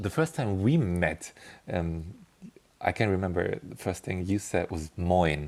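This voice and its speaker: With a German accent, a man of very deep pitch talks fairly slowly with ordinary pitch variation on a very clean recording with a silent background. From Bavaria, Germany. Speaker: linguist. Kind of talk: interview clip. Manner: hesitant, many ums.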